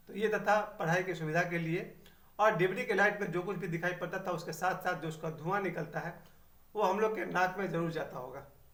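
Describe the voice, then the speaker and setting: Audible room echo surrounds a man with a high voice who talks at a moderate pace with fairly even intonation. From Bihar, India (Chhapra district). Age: 50s. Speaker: YouTuber. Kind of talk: personal reminiscence monologue.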